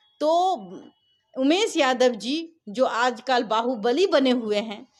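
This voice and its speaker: High in pitch, a woman's voice moves with lively intonation. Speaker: journalist and brand ambassador. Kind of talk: interview.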